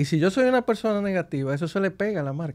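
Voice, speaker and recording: A man's voice with lively intonation and a fairly quick pace against a quiet background. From Dominican Republic, Santo Domingo; Dominican Republic. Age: 50s. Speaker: business executive; guest. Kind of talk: interview. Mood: calm, reflective. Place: studio. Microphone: studio mic.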